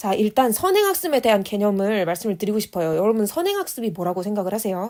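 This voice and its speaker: A woman's medium-pitched voice at a very fast pace, with lively intonation. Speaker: exam prep coach / channel host. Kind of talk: lecture-style monologue.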